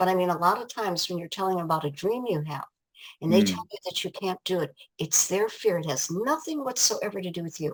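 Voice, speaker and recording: Enthusiastic and lively in intonation, a woman talks at a very fast pace. Her pitch is medium. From Ohio, USA. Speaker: life coach and author. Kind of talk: interview answer.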